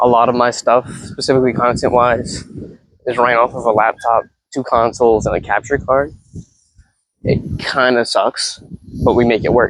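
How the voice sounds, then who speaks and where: A man with a medium-pitched voice speaks at a moderate pace in a monotone, flat intonation, leaving long, frequent pauses. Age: 20s. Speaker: content creator. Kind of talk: casual vlog monologue. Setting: outdoors, walking a dog. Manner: rambling, halting with fillers. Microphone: cheap ten-dollar clip mic on phone.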